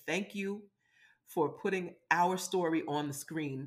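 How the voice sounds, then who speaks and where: A fairly slow, animated delivery in a Brooklyn accent, with ordinary pitch variation. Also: woman. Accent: New York (Brooklyn). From US Northeast, Brooklyn, New York. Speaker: casting director and producer. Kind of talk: interview.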